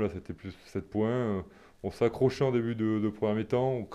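A man's fairly low, dark, mellow voice at a moderate pace, with fairly even intonation and a quiet background. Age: 30s. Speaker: professional rugby player. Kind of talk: casual interview. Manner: halting, repeats words.

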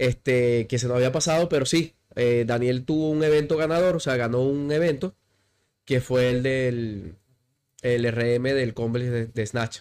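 An unremarkable speaking voice from a man, medium in pitch with ordinary pitch variation, fairly slow and very even in loudness, on a very clean recording with a silent background. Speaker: CrossFit coach. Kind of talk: casual interview.

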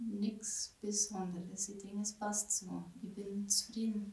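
A calm, quiet voice with a monotone, flat delivery. It moves at a fairly slow pace. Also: woman. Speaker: market gardener and farm shop owner. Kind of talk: interview. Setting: in her farm shop.

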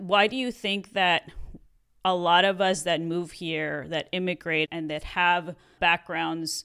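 On a very clean recording with a silent background, a woman speaks with a Mexican accent. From Mexico. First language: Spanish. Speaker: podcast co-host. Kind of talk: casual chat.

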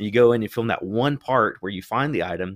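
This is a man with a medium pitch. His voice sounds dry and close with no echo, on a very clean recording with a silent background. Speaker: reseller and YouTuber. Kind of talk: casual chat. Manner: fast talker.

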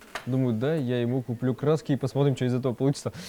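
A man at medium pitch is heard over noticeable background noise. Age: 20s. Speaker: Instagram blogger. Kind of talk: casual chat. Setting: cafe.

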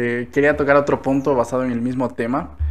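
A man speaks at a medium pitch in a normal speaking voice. The intonation is fairly even. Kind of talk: casual chat. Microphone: new microphone.

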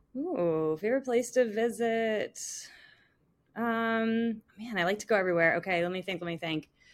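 A woman with an American accent speaks at a moderate pace in an unremarkable speaking voice, her pitch fairly high, on a very clean recording with a silent background. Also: lively intonation. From Long Island, New York (North Fork). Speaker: brand marketing manager. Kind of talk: interview.

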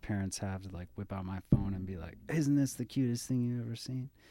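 A man speaks in a plain, everyday voice. His pitch is fairly low, with ordinary pitch variation. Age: 30s. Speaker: physician. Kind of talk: casual chat.

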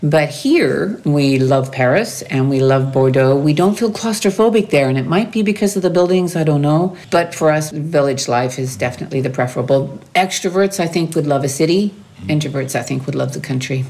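Over noticeable background noise, a woman with a Maritime Canadian accent speaks with hardly any pauses at a very deep, low pitch. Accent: Canadian (Maritimes) English. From New Brunswick, Canada. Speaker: expat interviewee. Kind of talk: interview.

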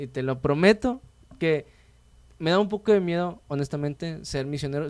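A man speaks in a normal speaking voice at a fairly quick pace, with ordinary pitch variation. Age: 20s. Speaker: podcast host. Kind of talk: casual interview chat.

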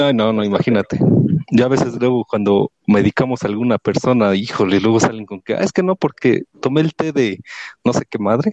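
At a fairly quick pace, a man uses a normal speaking voice of medium pitch with ordinary pitch variation. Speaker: listener participant. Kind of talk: casual chat.

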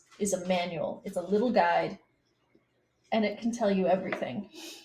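A woman speaks at a moderate pace with an American accent, at a medium pitch. Her tone is dark and mellow, and somewhat breathy. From US South, Eastern Kentucky. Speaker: electrical engineer and gardener. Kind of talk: casual chat.

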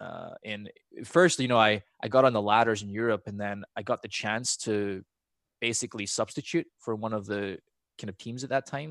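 On a very clean recording with a silent background and a dry, close sound with no echo, a man with an American accent talks in a fairly low pitch with fairly even intonation. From Scotland. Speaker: esports professional. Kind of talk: casual chat.

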